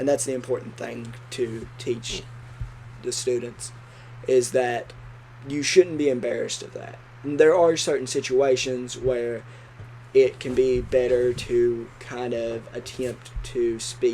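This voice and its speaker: Over noticeable background noise, a man speaks very slowly at a medium pitch, flat and monotone in intonation yet with big swings in loudness. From Kentucky, Appalachia. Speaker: education student podcast co-host. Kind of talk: casual educational discussion.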